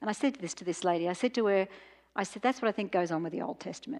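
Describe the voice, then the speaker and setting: In an Australian accent, a woman speaks at a medium pitch with lively intonation. The background is quiet. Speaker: professor and speaker. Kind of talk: lecture. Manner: intense.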